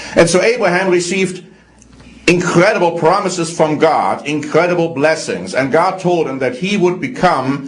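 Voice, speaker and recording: Someone with a slight German accent speaks amid noticeable background noise and audible room echo. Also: man. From Germany. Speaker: religious program presenter. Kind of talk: religious teaching talk.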